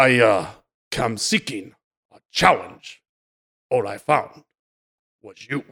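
A man does a put-on character voice, gruff and raspy. He talks at a very slow pace with long, frequent pauses. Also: medium pitch for a man. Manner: stoic, challenging.

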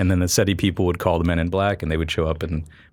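A man with a very deep, low pitch talks at a very fast pace. His intonation is monotone and flat. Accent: American. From Florida, Cocoa Beach. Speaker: physics professor. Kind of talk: casual chat.

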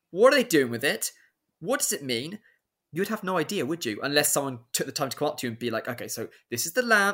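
Very fast speech from a man with a British accent, fairly high pitch and very wide pitch swings, on a very clean recording with a silent background. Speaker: PhD researcher. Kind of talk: interview on ancient history.

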